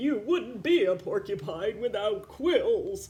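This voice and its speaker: A put-on character voice, fairly high in pitch with very wide pitch swings, at a fairly slow pace over light background noise. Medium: read story. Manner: warm, gentle.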